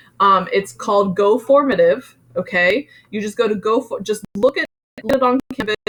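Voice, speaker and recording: The sound is dry and close, with no echo, as a woman speaks in an unremarkable speaking voice. She uses a fairly high pitch with ordinary pitch variation at a moderate pace. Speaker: music teacher. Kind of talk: online class lecture. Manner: casual, filler-heavy.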